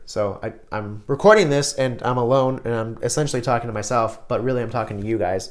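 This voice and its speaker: This is a man speaking at a medium pitch. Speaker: self-help video creator. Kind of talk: motivational vlog talk. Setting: recording alone to camera. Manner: animated.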